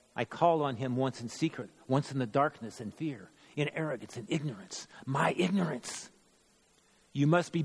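With an unremarkable speaking voice, a man of medium pitch talks at a moderate pace with lively intonation. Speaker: church member performing dramatic monologue. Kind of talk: first-person dramatic monologue in character as a biblical figure at the cross. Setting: church midweek worship service. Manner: rising from confessional regret to bold, resolute proclamation; solemn, measured, theatrical storytelling cadence.

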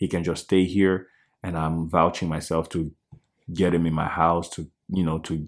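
This man has a very deep, low voice and speaks at a moderate pace in a flat monotone. The recording is very clean, with a silent background. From Democratic Republic of the Congo. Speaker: church keyboardist and music producer. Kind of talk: casual interview.

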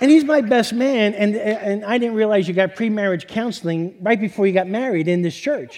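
A high-pitched man with an American accent, fairly quick pace, hardly any pauses, ordinary pitch variation, and noticeable background noise. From New York. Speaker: storyteller. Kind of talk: personal storytelling. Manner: repetitive, stammering restarts.

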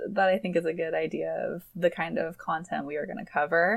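A woman with an ordinary speaking voice keeps a moderate pace and ordinary pitch variation. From Michigan. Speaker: podcast co-host, marketing professional. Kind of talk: casual chat.

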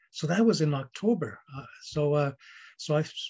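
A man speaks in a somewhat breathy voice. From northern Ontario, Canada (Ojibwe First Nation). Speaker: pastor. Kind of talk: interview. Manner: stuttering; halting.

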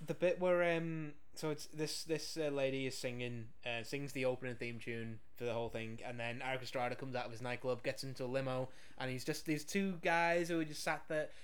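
At a medium pitch and a fairly quick pace, a man talks with ordinary pitch variation, with audible room echo around him. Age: 30s. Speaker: podcast co-host reviewing films. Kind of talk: casual chat.

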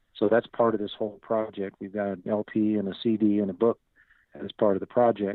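In an American accent, a man with a plain, everyday voice talks at medium pitch and a moderate pace. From US South, Northwest Arkansas. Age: 60s. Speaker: singer-songwriter. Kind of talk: interview.

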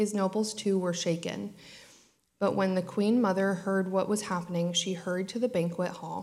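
Her voice is an unremarkable speaking voice, a woman's at medium pitch with fairly even intonation. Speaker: scripture reader. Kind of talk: reading aloud. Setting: church.

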